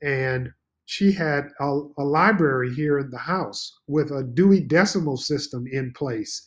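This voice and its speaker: In a normal speaking voice, a man talks at a fairly slow pace and a fairly high pitch with ordinary pitch variation, on a very clean recording with a silent background. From Texas (Beaumont). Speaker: school administrator and port commissioner. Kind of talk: interview.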